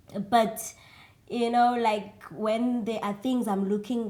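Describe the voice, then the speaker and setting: A woman with a South African accent speaks in a dark, mellow tone. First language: isiXhosa. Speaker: singer. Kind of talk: interview. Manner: hesitant, many fillers.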